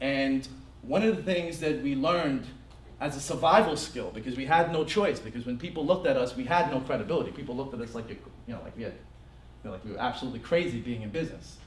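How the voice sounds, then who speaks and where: With lively intonation and an American accent, a man talks at a very fast pace over noticeable background noise and audible room echo. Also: fairly high pitch for a man, big swings in loudness. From New Jersey. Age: 30s. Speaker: business workshop presenter. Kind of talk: business seminar talk to live audience. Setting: stage with audience.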